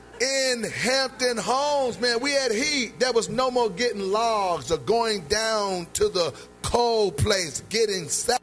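A man's high-pitched, very slow speech with ordinary pitch variation and music in the background. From North Carolina, USA. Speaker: preacher. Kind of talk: sermon delivered to a congregation. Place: church. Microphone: handheld.

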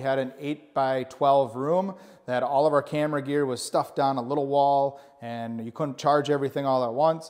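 A man talks at a moderate pace, his intonation fairly even, with the background quiet. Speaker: channel host giving a tour. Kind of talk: casual vlog chat. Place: office.

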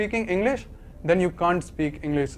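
This man has a high pitch and talks at a fairly quick pace. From India. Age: young. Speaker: YouTuber sharing learning tips. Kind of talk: educational talk to camera. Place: home room. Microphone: lapel.

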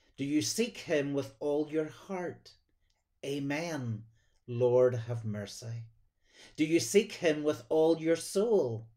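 A dark, mellow tone at a very slow pace, with ordinary pitch variation and a quiet background. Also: man. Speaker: church minister. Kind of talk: sermon. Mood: warm, gentle, devotional. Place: home room. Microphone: phone near.

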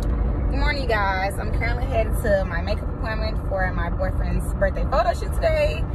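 Despite loud background noise, a woman's moderate-paced speech has a dry sound with no echo. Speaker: lifestyle vlogger. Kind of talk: casual talk to camera. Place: car. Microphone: phone near.

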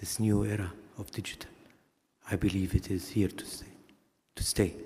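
Somewhat breathy, dark and mellow voice at a moderate pace, with big swings in loudness and fairly even intonation. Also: man, fairly low pitch for a man. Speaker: keynote speaker, former tourism official; keynote speaker. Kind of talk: keynote speech. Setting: conference stage with audience. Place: hall. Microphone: podium.

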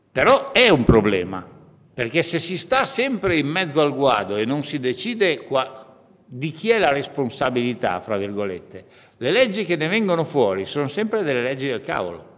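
A man's fairly high, vocal-fried voice at a moderate pace, with very wide pitch swings. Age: 50s. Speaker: trade union leader; speaker. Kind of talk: conference speech. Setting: parliament conference room. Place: hall. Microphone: podium.

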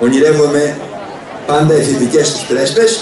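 A man speaks at a moderate pace with a fairly high pitch. Noticeable background noise and audible room echo are present. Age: 70s. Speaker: festival founder and former politician; former politician. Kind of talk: public speech. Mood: warm, ceremonial. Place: stage.

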